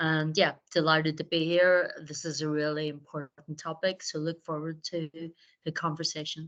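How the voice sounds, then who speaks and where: In an Irish accent, a woman speaks at a moderate pace. Her very deep, low voice holds a monotone, flat intonation. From Ireland. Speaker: fractional sales leader. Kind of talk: webinar discussion.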